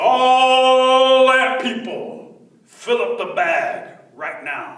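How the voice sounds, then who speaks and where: A man's put-on character voice, extremely high-pitched, very slow, with clear echo. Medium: read story. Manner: proud, commanding.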